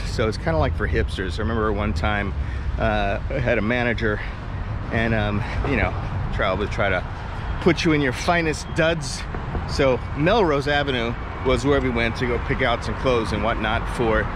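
Moderate-paced male speech with long, frequent pauses, dry with no echo, over noticeable background noise. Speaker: vlogger. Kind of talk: casual vlog chat. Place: street. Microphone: phone near.

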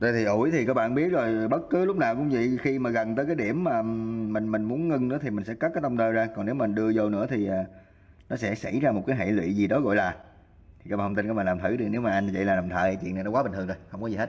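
The man talks at a fast pace with ordinary pitch variation. His tone is slightly mellow. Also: fairly low pitch for a man.

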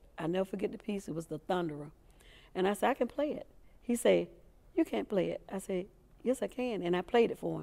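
A woman talks very fast with lively intonation, a dark, mellow tone and vocal fry. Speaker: interviewee. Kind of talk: interview answer. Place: studio. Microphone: lapel.

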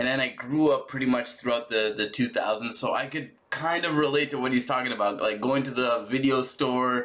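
The speaker is a man. He keeps a moderate pace, and his pitch moves in a normal way. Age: 30s. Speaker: reaction video youtuber. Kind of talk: casual reaction commentary. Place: home room.

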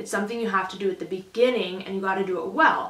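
There is audible room echo as a woman talks with fairly even intonation. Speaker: livestock showing instructor. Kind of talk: tutorial. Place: home room.

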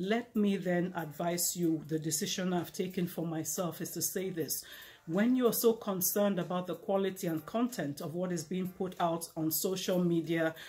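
A woman's dark, mellow, somewhat breathy voice sits at a fairly low pitch. She moves at a moderate pace with fairly even intonation. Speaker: speaker. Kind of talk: inspirational talk to camera. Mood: earnest, warm encouragement. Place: home room. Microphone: lapel.

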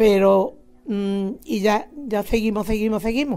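A woman's fairly high voice, dark and mellow in tone, at a fairly slow pace in a very clean recording with a silent background. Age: 80s+. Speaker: retired teacher, nativity scene association president. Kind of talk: interview. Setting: at her home.

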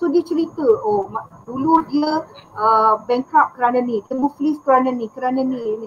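Against light background noise, a woman with a high pitch speaks at a fairly slow pace with ordinary pitch variation. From Kelantan, Malaysia; Malaysia. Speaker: ghostwriter; guest ghostwriter. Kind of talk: live online interview. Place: home room. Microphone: headset.

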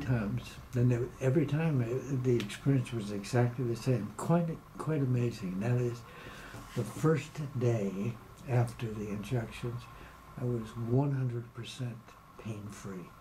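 Against noticeable background noise, a man talks at a fairly slow pace with ordinary pitch variation and long, frequent pauses. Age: 80s+. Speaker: patient giving testimonial. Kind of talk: interview answer.

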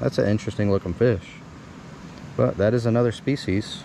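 A man's fairly low voice, dry with no echo, against light background noise. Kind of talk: casual vlog commentary. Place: waterside. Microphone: phone near.

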